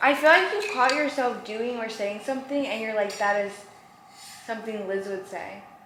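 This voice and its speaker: A woman talks with a fairly high pitch. Audible room echo and noticeable background noise surround her voice. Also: ordinary pitch variation, moderate pace. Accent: American. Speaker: lifestyle vlogger. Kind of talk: casual chat. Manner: animated.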